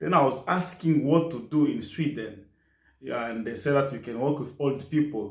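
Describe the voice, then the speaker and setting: A man with a fairly high, somewhat breathy voice talks at a moderate pace with ordinary pitch variation. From DR Congo, South Kivu. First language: French and Kiswahili. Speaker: nurse assistant. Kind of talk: interview. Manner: halting.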